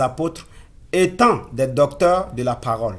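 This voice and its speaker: This man speaks with a Burkinabe accent. His voice is somewhat breathy. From Burkina Faso. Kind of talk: sermon-style exhortation. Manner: halting, self-correcting.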